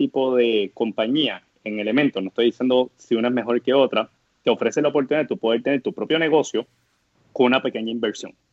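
Very rapid speech from a man, medium in pitch and with normal variation in tone. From Puerto Rico, Guayama area. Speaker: startup co-founder. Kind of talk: interview conversation. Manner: hesitant, many fillers.

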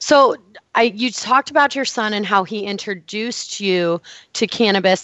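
A woman with an ordinary speaking voice, fairly high pitch, ordinary pitch variation and a moderate pace. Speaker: health podcast host. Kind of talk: interview.

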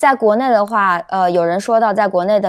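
This woman has a northern Chinese accent and a medium pitch, with ordinary pitch variation. The recording is very clean, with a silent background. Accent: noticeable retroflex (northern Mandarin). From China, Shandong (Jinan) then Beijing. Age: 30s. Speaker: caller on live stream. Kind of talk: casual chat.

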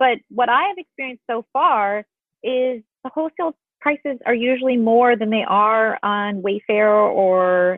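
A woman with an American accent has a plain, everyday voice. Her pitch is fairly high and her intonation lively. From US Midwest, Illinois. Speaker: interior designer. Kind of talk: interview.

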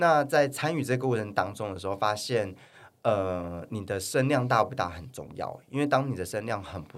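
With lively intonation, this man talks moderately paced in a normal speaking voice. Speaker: fitness influencer and model. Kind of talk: casual interview chat. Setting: studio.

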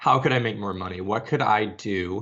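A man with an American accent has a plain, everyday voice, fairly low pitch, fairly even intonation, and a moderate pace. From Arizona, US. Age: 30s. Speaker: social media consultant. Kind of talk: interview.

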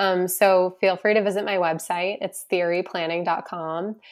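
On a very clean recording with a silent background, a woman with an American accent and an unremarkable speaking voice talks at a moderate pace in a medium pitch with ordinary pitch variation. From US Northeast, Boston area. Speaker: financial planner, business founder. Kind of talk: podcast interview.

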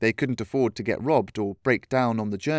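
A plain reading-aloud voice with ordinary pitch variation.

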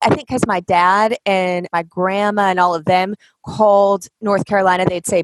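Her voice sits at a medium pitch. Recorded close and dry without echo, a woman is talking. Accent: American. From Washington State. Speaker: podcast host. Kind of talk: podcast interview.

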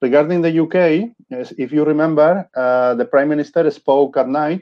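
The voice carries a Spanish accent. Its pitch variation is ordinary. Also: man. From Spain. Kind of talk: casual interview chat. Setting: video call from home. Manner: halting, searching for words.

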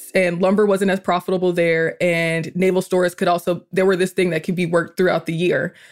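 A woman talks in a medium register on a very clean recording with a silent background. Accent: American. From US South, Georgia (Atlanta area). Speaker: podcaster and writer. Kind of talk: casual chat.

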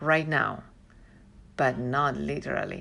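A woman with a Chilean accent talks at a moderate pace. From Santiago, Chile. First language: Spanish. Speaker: Spanish teacher. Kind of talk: interview. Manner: halting.

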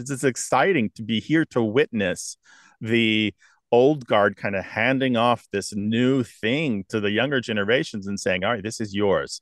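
Here is a man with a normal speaking voice and medium pitch, talking at a moderate pace. The sound is dry and close with no echo, the background quiet. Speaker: lexicographer and radio host. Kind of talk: interview. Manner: articulate.

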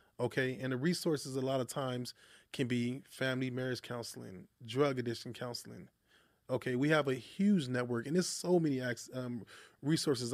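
A man with a normal speaking voice at a medium pitch, a fairly quick pace, and ordinary pitch variation. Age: young. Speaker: social services business owner. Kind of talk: interview. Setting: studio.

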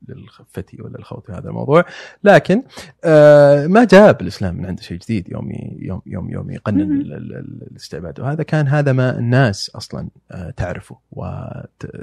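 Heard in a dry, close sound with no echo, a man of medium pitch moves at a moderate pace with very wide pitch swings and big swings in loudness. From Saudi Arabia, Eastern Province with Najran roots. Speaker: anthropology student and writer. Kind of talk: casual conversational interview. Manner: halting, with repetitions and fillers.

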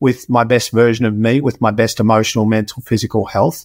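The very clean recording, with a silent background, captures a man speaking in an Australian accent. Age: 50s. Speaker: health and performance expert, podcaster. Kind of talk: interview conversation.

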